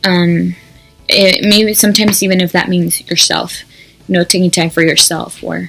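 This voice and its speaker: Over music in the background, a woman speaks with a Spanish accent at a moderate pace. Her pitch is medium and her intonation fairly even. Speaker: YouTuber. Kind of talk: casual vlog monologue. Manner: hesitant, many ums.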